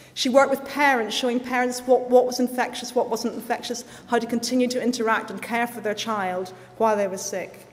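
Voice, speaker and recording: A high-pitched woman with a Northern Irish accent at a fairly quick pace. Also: fairly even intonation. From Northern Ireland. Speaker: guest speaker at school ceremony. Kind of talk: speech.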